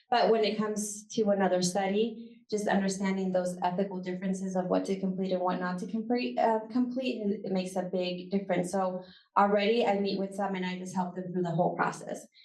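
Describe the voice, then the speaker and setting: At a fairly quick pace with hardly any pauses, a woman of medium pitch speaks with fairly even intonation in audible room echo. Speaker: university professor and research center director. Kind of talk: conference talk with Q&A. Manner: fast.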